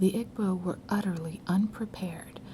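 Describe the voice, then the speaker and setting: A woman speaks very slowly in a soothing tone at medium pitch, with ordinary pitch variation. Noticeable background noise runs under her voice. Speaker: ASMR storyteller. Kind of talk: ASMR storytelling, soothing story time reading. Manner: soothing, soft.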